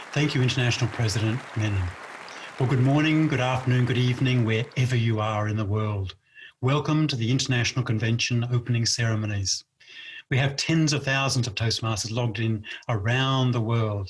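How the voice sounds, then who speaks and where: A man speaks at a fairly quick pace in an Australian accent, his voice somewhat breathy. His pitch is medium and his intonation fairly even. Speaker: past president of a speaking club organization. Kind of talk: inspirational speech. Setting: virtual convention video.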